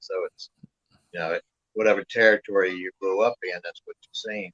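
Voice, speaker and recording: An American-accented man speaks at a moderate pace. The sound is dry and close, with no echo. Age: 60s. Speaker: wrestling manager and collector. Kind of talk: casual chat.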